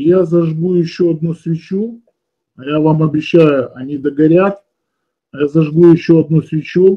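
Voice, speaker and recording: Against a quiet background, a man talks at a fairly slow pace in a fairly high voice, his intonation fairly even, with long, frequent pauses. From Odesa, Ukraine; Ukraine. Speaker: esoteric teacher and webinar leader; esoteric teacher. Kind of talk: webinar lecture. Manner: conversational, explanatory, somewhat halting with fillers. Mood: calm, persuasive. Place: home room. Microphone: webcam.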